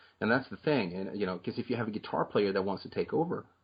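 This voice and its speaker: A man talks in a Swedish accent with ordinary pitch variation. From Sweden. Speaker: metal singer. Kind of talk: interview.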